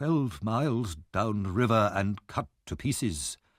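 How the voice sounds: A man puts on a character voice that is shaky and fairly low in pitch, with lively intonation. He goes at a fairly slow pace on a very clean recording with a silent background.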